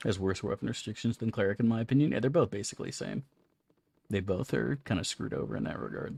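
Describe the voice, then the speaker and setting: A man with vocal fry and a fairly low pitch, talking at a very fast pace with very wide pitch swings, on a very clean recording with a silent background. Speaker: video game streamer. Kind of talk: casual gameplay commentary.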